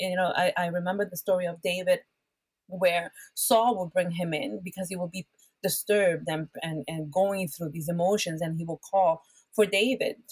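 A woman with a Spanish accent speaks somewhat breathily at a medium pitch and a moderate pace, with ordinary pitch variation. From Puerto Rico. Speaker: worship pastor. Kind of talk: conversational interview that turns into preaching. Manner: animated, preacher-like.

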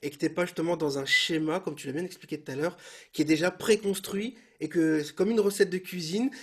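Very fast speech from a man with a high pitch and ordinary pitch variation. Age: younger than guest. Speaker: podcast host and bass teacher. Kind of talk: casual interview. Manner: hesitant, repeats words.

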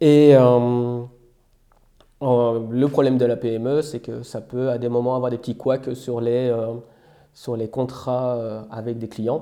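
At a very slow pace, a man speaks with long, frequent pauses. His medium-pitched voice has a dark, mellow tone and flat, monotone intonation. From Belgium. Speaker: software developer. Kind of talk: interview. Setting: outdoors.

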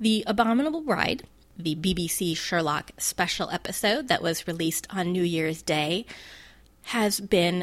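Against a silent background on a very clean recording, a woman speaks at a fairly slow pace. Her pitch is fairly low with ordinary variation, in a normal speaking voice. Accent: General American. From US. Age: 40s. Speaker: podcast host. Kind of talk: solo podcast monologue.

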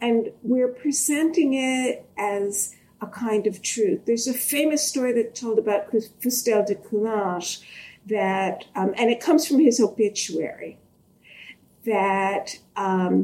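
Lively intonation runs through a normal speaking voice that moves at a fairly slow pace. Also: woman. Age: 60s. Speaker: history professor. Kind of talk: interview conversation.

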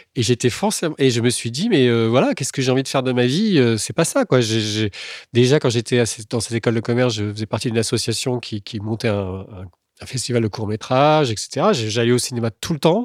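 Here a man with a plain, everyday voice talks at a medium pitch and a fairly quick pace, with ordinary pitch variation. The sound is dry and close with no echo, in a very clean recording with a silent background. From France, Tours area. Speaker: screenwriter. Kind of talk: casual chat.

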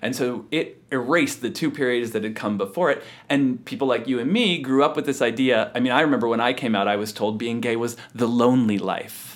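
Using a plain, everyday voice, a man talks at a medium pitch and fairly quick pace, with hardly any pauses and ordinary pitch variation. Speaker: historian and author. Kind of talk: interview conversation.

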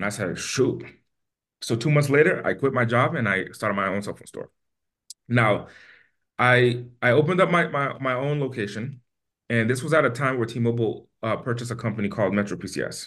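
Over a quiet background, a man of medium pitch talks at a fairly quick pace with an American accent and ordinary pitch variation. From US East Coast. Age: 20s. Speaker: entrepreneur. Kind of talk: interview. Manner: animated.

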